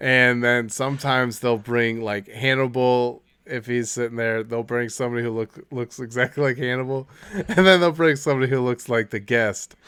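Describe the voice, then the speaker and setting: The voice is loud, with a bright, sharp tone and a moderate pace. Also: man. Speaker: podcast co-host. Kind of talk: casual chat. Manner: animated.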